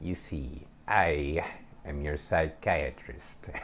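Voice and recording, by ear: A man puts on a character voice that is raspy and very deep. He speaks at a very slow pace over clear background noise.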